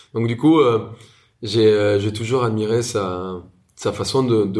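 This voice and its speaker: A man speaks in a fairly low pitch with a somewhat breathy voice. His intonation is fairly even, and audible room echo surrounds it. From Colombia, Bogota. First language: Spanish (speaking French). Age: 30s. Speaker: chef and restaurateur. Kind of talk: interview.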